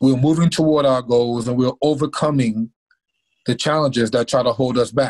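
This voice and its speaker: In an American accent, a man speaks at a medium pitch and moderate pace with fairly even intonation, the sound dry and close with no echo. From North Carolina. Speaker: former pro football player and motivational speaker. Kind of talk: interview. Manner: halting.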